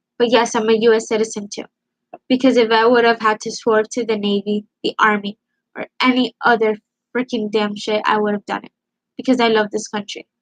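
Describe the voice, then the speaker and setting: A woman's fairly high voice, fairly quick, with fairly even intonation. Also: dry, close sound with no echo. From Cuba, moved to US at age four. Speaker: live streamer. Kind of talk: heated debate. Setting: live stream on camera. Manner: loud.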